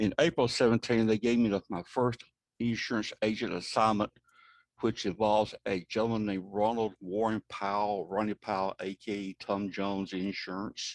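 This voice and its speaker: A plain, everyday voice from a man, fairly low in pitch with fairly even intonation at a moderate pace, dry and close with no echo. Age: 60s. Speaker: insurance fraud investigator. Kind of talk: presentation. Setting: video call.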